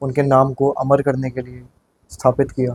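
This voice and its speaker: A man speaks in a monotone, flat way at a moderate pace, the sound dry and close with no echo. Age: 20s. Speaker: municipal election candidate. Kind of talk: interview.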